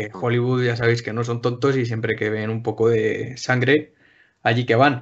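This man has an unremarkable speaking voice at medium pitch and talks at a fairly slow pace. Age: 20s. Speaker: podcast panelist. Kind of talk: casual chat.

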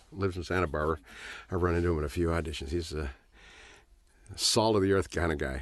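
Delivered at a very fast pace with vocal fry, the speech has ordinary pitch variation and long, frequent pauses. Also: man, very deep, low pitch for a man. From Los Angeles, California. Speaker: actor. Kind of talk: casual chat, film commentary. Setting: studio. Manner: chatty, laughs often.

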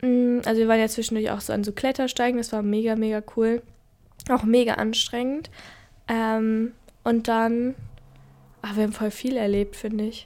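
Her intonation monotone and flat, a woman talks at a moderate pace with long, frequent pauses. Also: fairly high pitch for a woman. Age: young. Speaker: podcast co-host. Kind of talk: casual chat.

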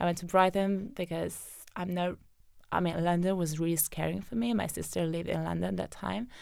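Someone talks at a fairly quick pace with an Italian accent. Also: woman. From southern Italy (Naples/Benevento area). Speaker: data scientist. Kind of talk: casual interview chat. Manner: hesitant, with frequent fillers.

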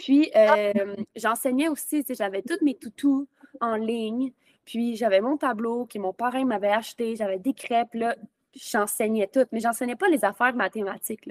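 Recorded with a dry, close sound and no echo, a woman in a Quebec accent speaks at a fairly high pitch. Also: ordinary pitch variation, fairly slow pace. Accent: Québécois French. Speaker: podcast host and virtual assistant. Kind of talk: casual interview. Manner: animated.

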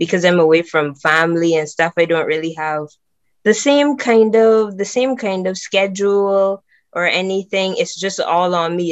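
A woman speaks with a Barbadian accent in a fairly low pitch. Her pitch variation is ordinary, and the background is quiet. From Barbados. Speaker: film student. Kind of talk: casual faith conversation.

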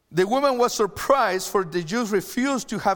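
A man speaks fairly quickly in a high voice with lively intonation. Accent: Chilean. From Chile. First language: Spanish. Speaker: pastor. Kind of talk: sermon. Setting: online church service.

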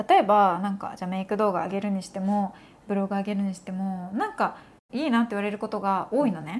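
Very fast, a woman talks in a very clean recording with a silent background. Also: medium pitch for a woman, ordinary pitch variation. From Japan. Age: 30s. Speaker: podcast host, makeup content creator. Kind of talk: casual chat.

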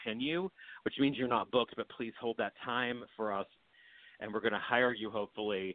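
With an American accent, a man in an ordinary speaking voice talks at a fairly quick pace, using a medium pitch and ordinary pitch variation. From West Virginia, Hampshire County. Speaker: actor and comedian. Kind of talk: interview.

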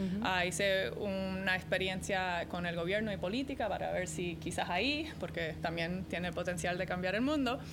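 With vocal fry and a medium pitch, a woman speaks at a moderate pace with hardly any pauses, very even loudness, and ordinary pitch variation amid audible room echo. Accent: non-native. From American parents, raised moving around. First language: English (speaking Spanish). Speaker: arena executive and startup mentor. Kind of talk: interview.

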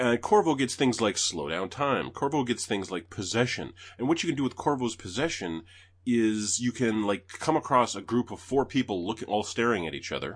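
Against a quiet background, a man speaks in a plain, everyday voice at medium pitch. His intonation is lively and his pace moderate. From Canada. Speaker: podcast host. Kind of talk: casual chat.

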